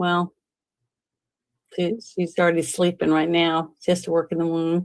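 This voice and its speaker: This voice, with a slight Southern US accent, moves at a moderate pace in a monotone, flat delivery. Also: woman, fairly low pitch for a woman. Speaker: podcast host. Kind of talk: casual chat. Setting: live stream.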